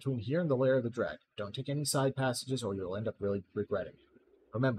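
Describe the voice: The pitch moves in an ordinary way through this plain reading aloud.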